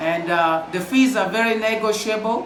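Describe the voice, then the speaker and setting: The speaker is loud and has an animated tone with ordinary pitch variation, heard through noticeable background noise and audible room echo. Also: man. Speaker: school counselor. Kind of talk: vlog outro.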